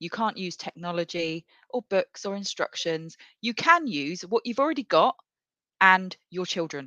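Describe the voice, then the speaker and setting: With a British accent and a medium pitch, a woman talks with lively intonation in a dry, close recording with no echo. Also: moderate pace, quiet background. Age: 40s. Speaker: podcast host. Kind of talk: casual chat.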